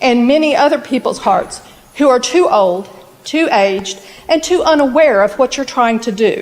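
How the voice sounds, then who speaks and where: Noticeable background noise sits behind a woman with a high pitch. She talks at a moderate pace with very wide pitch swings. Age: 60s. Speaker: local resident speaking at council meeting. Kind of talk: public comment at city council meeting. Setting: city council meeting. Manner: emphatic.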